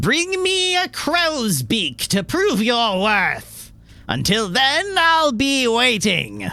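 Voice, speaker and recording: In a put-on character voice, a man speaks at a very slow pace with an extremely high pitch that swings very widely. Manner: silly, comic.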